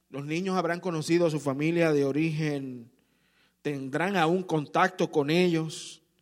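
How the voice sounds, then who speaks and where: A man with a fairly high pitch talks at a fairly slow pace, his intonation fairly even, in a plain, everyday voice. The recording is very clean, with a silent background. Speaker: pastor. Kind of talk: sermon. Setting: church. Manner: warm, earnest preaching pace, direct appeals to the congregation.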